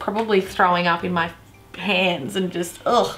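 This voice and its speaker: A woman speaks in an upbeat tone with an Australian accent. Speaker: YouTuber. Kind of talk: casual talk to camera. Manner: upbeat, joking. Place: home room.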